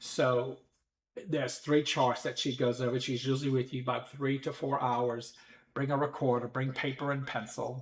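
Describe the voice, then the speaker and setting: A man's somewhat breathy voice with monotone, flat intonation. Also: medium pitch for a man, moderate pace. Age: 60s. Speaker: psychic medium podcast host. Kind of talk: casual livestream chat. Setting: live stream from home. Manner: halting, many fillers.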